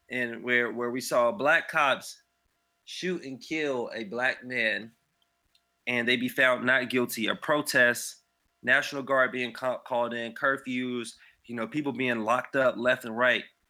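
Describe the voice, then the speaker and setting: A man with medium pitch and fairly even intonation, speaking at a fairly slow pace over background music. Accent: American. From US South, Raleigh, North Carolina. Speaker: actor. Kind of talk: casual chat.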